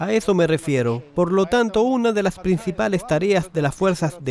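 A man talks at a moderate pace. His high voice has lively intonation. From Moscow, Russia. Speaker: travel vlogger. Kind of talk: documentary narration with street interviews.

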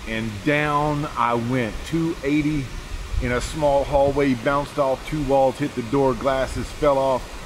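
Over noticeable background noise, a man speaks at a very slow pace with fairly even intonation. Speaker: preacher vlogger. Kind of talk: casual vlog chat. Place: forest. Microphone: phone near.

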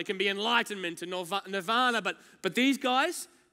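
A man talks at a fairly quick pace in a raised, projected voice with a bright, sharp tone. His pitch varies in an ordinary way against a quiet background. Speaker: preacher. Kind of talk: sermon. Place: church. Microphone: headset.

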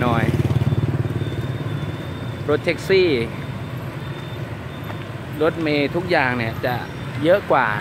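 A man's voice with ordinary pitch variation, a dry sound with no echo and noticeable background noise. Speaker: travel vlogger. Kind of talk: casual vlog chat. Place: street. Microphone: phone near.

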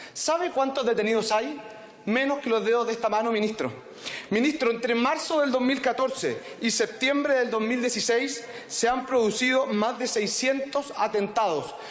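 A man speaks at a fairly slow pace in an extremely high pitch, with fairly even intonation and very even loudness. Audible room echo surrounds his voice. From Chile. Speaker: politician. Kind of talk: parliamentary debate. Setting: parliament chamber. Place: hall. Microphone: podium.

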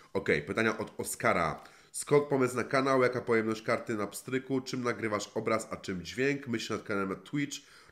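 A man with an ordinary speaking voice talks at a moderate pace and medium pitch, with ordinary pitch variation, hardly any pauses and a quiet background. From Poland, Warmia-Masuria; Poland. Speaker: gaming YouTuber. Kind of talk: Q&A answering viewer questions. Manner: casual, colloquial. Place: home room.

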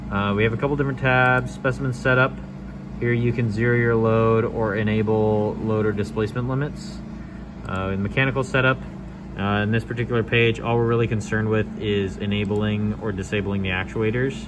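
Over noticeable background noise, a man speaks at a fairly quick pace with a fairly low pitch and ordinary pitch variation. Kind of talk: tutorial. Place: workshop. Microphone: phone near.

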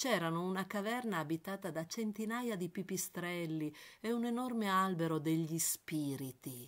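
Against a very clean recording with a silent background, a woman with a plain, everyday voice speaks at a fairly slow pace with lively intonation. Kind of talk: literary audiobook reading, first-person memoir-like narration. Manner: measured, evocative, lyrical narration.

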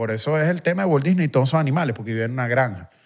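Against a quiet background, a man speaks with a Caracas accent. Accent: Venezuelan Spanish (Caracas area). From Venezuela, Guatire (Miranda); Venezuela. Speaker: musician; podcast guest or host. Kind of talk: casual chat. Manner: animated. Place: studio. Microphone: studio mic.

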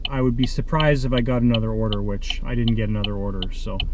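Noticeable background noise sits behind a man whose voice comes through dry, with no echo. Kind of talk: casual vlog chat. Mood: mildly annoyed, venting. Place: car. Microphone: phone near.

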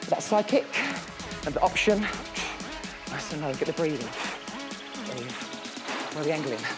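A man talks at a moderate pace while clear music plays in the background. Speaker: fitness instructor. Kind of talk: workout class instruction. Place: studio.

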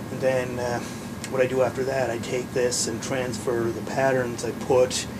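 A man speaks at a moderate pace amid loud background noise. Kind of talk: tutorial. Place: workshop. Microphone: camera far.

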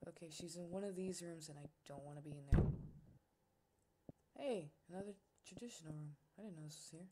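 A woman with a somewhat breathy, dark, mellow voice of fairly low pitch talks very fast, with big swings in loudness and long, frequent pauses. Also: ordinary pitch variation. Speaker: gaming youtuber. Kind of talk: let's play commentary. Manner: reactive, casual.

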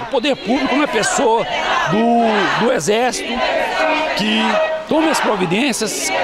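A man talks at a fairly slow pace, the sound dry with no echo and loud background noise behind him. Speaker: protester. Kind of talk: street protest interview answer. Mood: firm, earnest, political. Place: street. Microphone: handheld.

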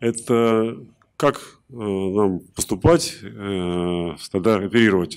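This is an ordinary speaking voice with ordinary pitch variation. The recording is very clean and the background silent. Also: man. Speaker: conference attendee asking questions. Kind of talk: Q&A. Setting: stage with audience.

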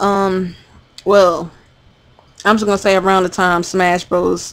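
A woman with a plain, everyday voice speaks at a fairly slow pace. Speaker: gamer. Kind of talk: casual talk to camera.

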